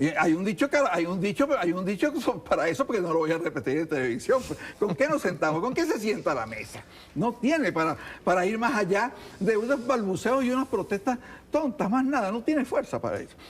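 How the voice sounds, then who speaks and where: Noticeable background noise sits behind a man talking at a fairly quick pace. His high voice swings very widely in pitch. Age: 70s. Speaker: politician. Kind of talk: heated debate.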